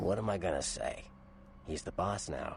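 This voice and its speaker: A man's raspy, put-on character voice at a moderate pace, over clear background noise. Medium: video game. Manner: wry, casual, knowing.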